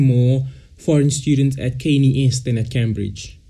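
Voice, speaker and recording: A man's somewhat breathy, dark and mellow voice of fairly high pitch, with audible room echo. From South Africa, Cape Town. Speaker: podcast co-host. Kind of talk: casual chat.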